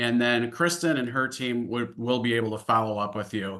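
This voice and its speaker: A man's bright, sharp tone with fairly even intonation and a slight Upper Midwest accent. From US Midwest, Illinois-Wisconsin border. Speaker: financial services executive. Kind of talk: webinar presentation. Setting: online webinar. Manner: many filler words (uh, um).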